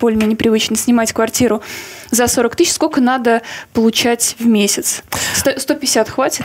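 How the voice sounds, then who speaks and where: At a moderate pace, a woman speaks with fairly even intonation and very even loudness. She leaves long, frequent pauses. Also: fairly high pitch for a woman. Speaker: podcast host. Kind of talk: casual interview chat. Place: studio.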